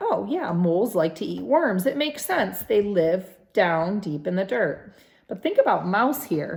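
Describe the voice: What plays here is plain reading aloud.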